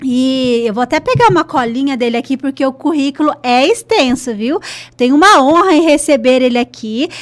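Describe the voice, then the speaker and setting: A woman speaks at a high pitch in an animated tone. Her pace is moderate. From northern Paraná, Brazil. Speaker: podcast host. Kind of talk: podcast intro with sponsor read. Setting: studio.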